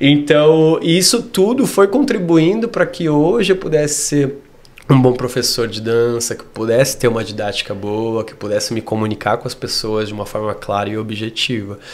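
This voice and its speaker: With lively intonation and big swings in loudness, the voice moves at a moderate pace over noticeable background noise. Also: man, medium pitch for a man. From Brazil, Rio Grande do Sul (Torres). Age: 30s. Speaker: dance teacher. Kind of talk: interview. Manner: clear, articulate.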